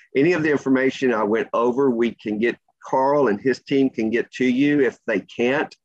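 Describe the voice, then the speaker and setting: With a normal speaking voice, a man at a medium pitch talks at a moderate pace, his intonation fairly even and his loudness very even, in a dry, close sound with no echo. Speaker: labor market data presenter. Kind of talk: presentation.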